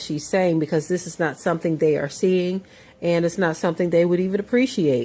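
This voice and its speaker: A woman's fairly low voice with fairly even intonation, over music in the background. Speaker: religious commentator. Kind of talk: casual commentary to camera.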